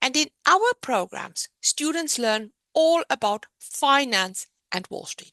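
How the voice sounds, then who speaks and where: A woman with a South African accent speaks very slowly in a raised, projected voice, high-pitched with a bright, sharp tone. Her pitch swings very widely, her loudness swings a lot, and the sound is dry and close with no echo. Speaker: business owner presenting a program. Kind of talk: presentation.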